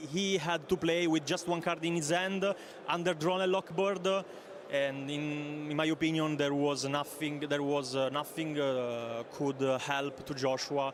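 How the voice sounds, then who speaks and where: A man with an Italian accent speaks at a fairly slow pace in a fairly high pitch. His intonation is fairly even, and there is noticeable background noise. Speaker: card game tournament player. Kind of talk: interview. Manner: halting, many fillers.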